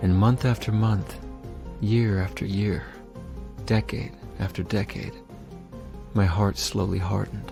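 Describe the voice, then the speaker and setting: With music in the background, a man speaks at a fairly slow pace in a very deep, low pitch. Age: 40s. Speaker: recovering addict, church member. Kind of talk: personal testimony narration. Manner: earnest, reflective.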